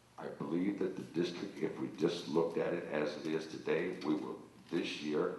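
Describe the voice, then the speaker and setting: In an American accent, a man with a very deep, low voice speaks at a moderate pace amid noticeable background noise and audible room echo. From northern Ohio, Youngstown. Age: 70s. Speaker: school board candidate. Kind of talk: campaign speech.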